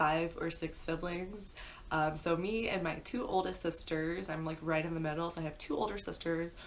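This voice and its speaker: In a room with audible echo, a woman with a Midwestern accent speaks at a fairly low pitch with ordinary pitch variation. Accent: American Midwest. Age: 20s. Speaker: pet YouTuber. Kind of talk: story time monologue. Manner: fast; casual, chatty.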